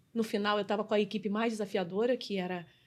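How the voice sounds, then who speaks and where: This woman has an ordinary speaking voice, fairly high in pitch, with fairly even intonation. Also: very clean recording, silent background. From Brazil, Rio de Janeiro. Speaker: customer experience specialist and business mentor. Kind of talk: podcast interview.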